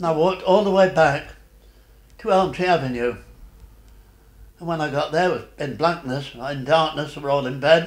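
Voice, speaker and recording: With audible room echo, a man talks at a moderate pace with ordinary pitch variation, big swings in loudness, and long, frequent pauses. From Derbyshire, England. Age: 80s+. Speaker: war veteran. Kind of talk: interview answer. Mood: sad, reflective memory. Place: home room.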